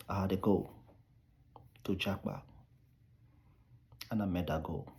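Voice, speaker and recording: A very deep, low-pitched male voice, somewhat breathy, at a moderate pace with ordinary pitch variation. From Nigeria. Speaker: immigration advice vlogger. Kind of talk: casual vlog advice monologue.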